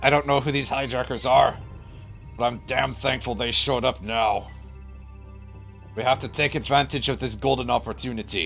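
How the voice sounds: With clear music in the background, a man uses a put-on character voice at a medium pitch and moderate pace, pausing long and often.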